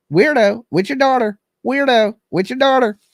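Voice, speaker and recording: Using a put-on character voice, a man talks at a moderate pace in an extremely high pitch. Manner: repetitive squawking.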